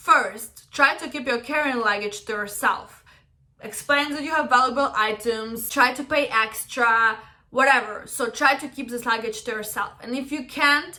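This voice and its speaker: A woman with a Russian accent at a high pitch, ordinary pitch variation, big swings in loudness and a moderate pace. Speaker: travel vlogger. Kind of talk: casual storytime and travel tips to camera.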